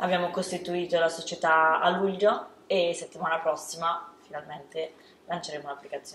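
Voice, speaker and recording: A woman with a Lombard accent and monotone, flat intonation, with audible room echo and light background noise. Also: moderate pace. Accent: northern Italian (Lombard). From northern Italy. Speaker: startup co-founder. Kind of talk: interview. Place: studio.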